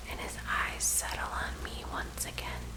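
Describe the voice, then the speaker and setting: Through noticeable background noise, a woman whispers at a fairly slow pace. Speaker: ASMR story narrator / author. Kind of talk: whispered ASMR story reading. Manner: whispered, soft.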